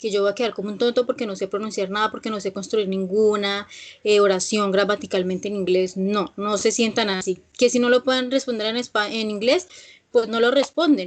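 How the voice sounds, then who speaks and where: Her voice is fairly high in pitch, and this woman talks at a fairly quick pace with ordinary pitch variation. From Colombia, Villavicencio (Meta). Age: 20s. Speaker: English teacher. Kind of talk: online class. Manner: hesitant, with fillers.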